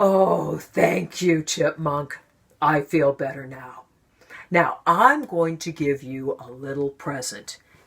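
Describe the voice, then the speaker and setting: Putting on a character voice, a woman talks at a fairly slow pace in a very deep, low pitch. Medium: read story. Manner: slow, plaintive.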